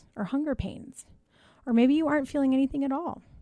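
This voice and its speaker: This woman has a high pitch, a dark, mellow tone that is also warm, and ordinary pitch variation. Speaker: nurse practitioner and wellness podcast host. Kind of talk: guided meditation, calm relaxation prompts. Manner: conversational, warm, explanatory.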